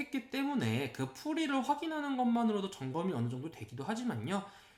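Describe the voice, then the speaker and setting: Amid noticeable background noise, a man with extremely high pitch talks at a fairly quick pace with lively intonation. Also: hardly any pauses. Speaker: math academy director. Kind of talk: informational presentation. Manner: unsteady diction and intonation.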